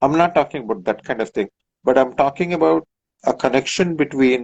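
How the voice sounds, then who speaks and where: In a Kannada accent, a man speaks at a medium pitch. His pace is fairly quick and his intonation lively. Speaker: professor and author. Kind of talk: interview conversation. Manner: hesitant with fillers.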